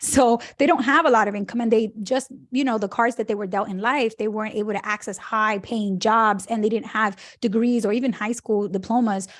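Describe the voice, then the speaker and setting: This woman has a fairly high pitch and fairly even intonation. She talks at a fairly quick pace. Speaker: personal finance author and educator. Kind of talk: interview. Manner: fast.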